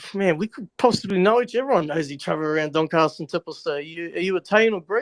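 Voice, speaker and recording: In an Australian accent, a man with a high pitch talks at a very fast pace with ordinary pitch variation, the sound dry and close with no echo. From Australia, Melbourne. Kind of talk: casual chat. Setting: live audio chat room. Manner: halting.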